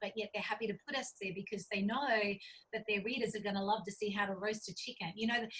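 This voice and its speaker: This woman has a medium-pitched voice. She speaks with an Australian accent. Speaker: cookbook author and publisher. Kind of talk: interview. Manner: animated.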